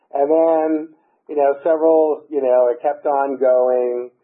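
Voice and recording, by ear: At a slow pace, a man with an American accent speaks at medium pitch with little pitch movement.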